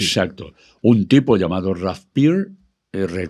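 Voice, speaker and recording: Against a quiet background, a man with an ordinary speaking voice talks fairly slowly at a fairly low pitch with lively intonation. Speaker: radio broadcaster and country music expert. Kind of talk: casual talk, explaining history of country music.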